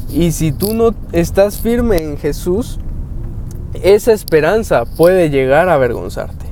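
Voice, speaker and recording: A man talks at a fairly slow pace with lively intonation against noticeable background noise. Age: 20s. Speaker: youth preacher. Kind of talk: devotional talk.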